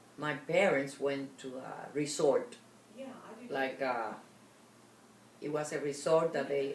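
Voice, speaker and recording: A woman's very deep, low voice at a fairly slow pace, with audible room echo. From Cuba. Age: 80s+. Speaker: interviewee sharing life story. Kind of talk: oral history interview.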